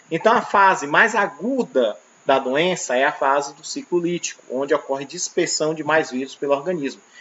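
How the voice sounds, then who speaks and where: Fairly high male voice with lively intonation, big swings in loudness, hardly any pauses, and noticeable background noise. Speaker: teacher. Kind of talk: lecture. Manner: fast.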